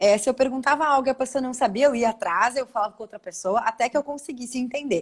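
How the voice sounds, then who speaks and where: Speaking very fast with hardly any pauses, a woman with a southern Brazilian accent uses a high pitch and big swings in loudness, recorded with a dry, close sound and no echo. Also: ordinary pitch variation. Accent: Gaúcho. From southern Brazil, Porto Alegre. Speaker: spiritual therapist. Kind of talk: live video interview.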